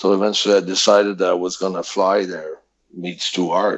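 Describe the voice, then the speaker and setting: With a Quebec accent, a man talks at a moderate pace. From Quebec, French-speaking area. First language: French. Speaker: professional wrestler. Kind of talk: interview. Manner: halting, many fillers.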